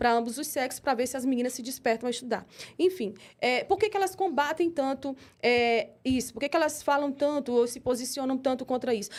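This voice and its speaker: Fairly quick speech in a woman's high voice, with ordinary pitch variation. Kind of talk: interview. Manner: fast; animated.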